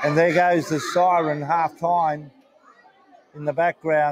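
A man speaks in a monotone, flat intonation. The sound is dry with no echo, with crowd noise in the background. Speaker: match commentator. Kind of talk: commentary.

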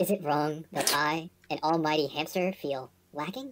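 Pitched in the middle range, this is a put-on character voice. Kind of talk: pompous, self-pitying. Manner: sad, depressing.

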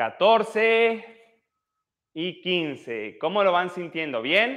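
Against a quiet background, a man speaks in a high pitch. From Mexico, Oaxaca (central valleys). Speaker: physiotherapist leading exercise livestreams. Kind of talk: live exercise class with chat reading. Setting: livestream. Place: gym. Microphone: lapel.

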